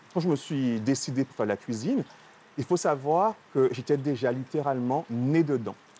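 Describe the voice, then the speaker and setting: At a moderate pace, a man with a dark, mellow tone speaks at a fairly high pitch with ordinary pitch variation. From Guadeloupe. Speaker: chef. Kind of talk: TV interview.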